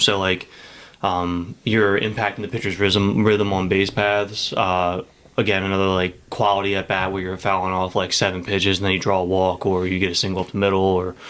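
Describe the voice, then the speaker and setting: A man mumbles at a fairly quick pace. His very deep, low voice stays flat and monotone. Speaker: high school baseball coach and teacher. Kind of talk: casual podcast interview. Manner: mumbles a lot; casual, filler-heavy speech.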